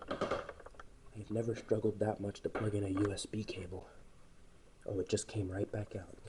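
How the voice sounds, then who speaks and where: Soft-spoken, a man talks at a moderate pace. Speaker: ceiling fan hobbyist YouTuber. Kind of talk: casual video commentary. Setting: indoors, dark room at home.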